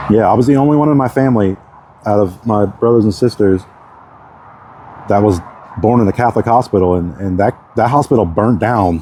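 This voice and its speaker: Speaking in an American accent with long, frequent pauses, the voice keeps ordinary pitch variation and very even loudness over noticeable background noise. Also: man, fairly low pitch for a man. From Texas, Galveston. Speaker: vlogger. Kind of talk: casual monologue. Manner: rambling with many fillers.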